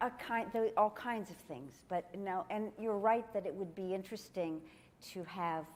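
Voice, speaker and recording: The speech comes at a moderate pace. The speaker is a woman. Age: 60s. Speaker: yoga teacher. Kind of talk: Q&A session. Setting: conference with audience. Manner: halting.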